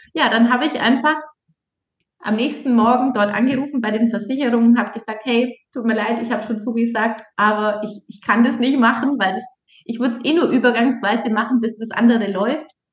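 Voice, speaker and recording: A woman with an unremarkable speaking voice talks at a fairly quick pace, her fairly high pitch held in fairly even intonation. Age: 30s. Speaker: dating and relationship coach. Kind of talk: casual interview.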